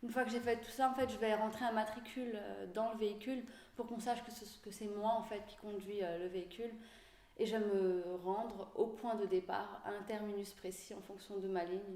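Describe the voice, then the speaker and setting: A woman's fairly high voice at a moderate pace with fairly even intonation, amid audible room echo and noticeable background noise. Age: 30s. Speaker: bus driver. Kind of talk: interview. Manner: hesitant, many fillers.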